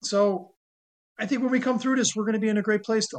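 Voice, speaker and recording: This is a man's voice. He speaks with an American accent. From New York City area and northern New Jersey. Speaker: amateur sports club founder. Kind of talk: interview.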